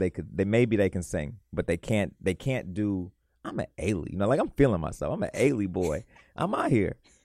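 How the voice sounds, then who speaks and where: With an American accent, a man speaks at a fairly low pitch and moderate pace, his dark, mellow tone carried by lively intonation in a dry, close sound with no echo on a very clean recording with a silent background. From US Midwest, west suburbs of Chicago. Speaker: dance coach and choreographer. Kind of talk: casual interview chat. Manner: animated.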